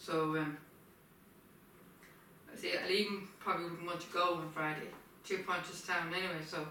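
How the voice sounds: A woman with a bright, sharp tone and fairly even intonation, in a room with strong echo. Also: fairly low pitch for a woman, moderate pace.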